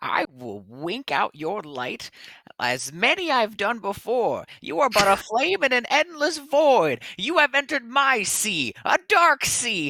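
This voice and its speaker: On a very clean recording with a silent background, a female-sounding voice puts on a character voice at high pitch and a fairly slow pace. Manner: enraged, menacing.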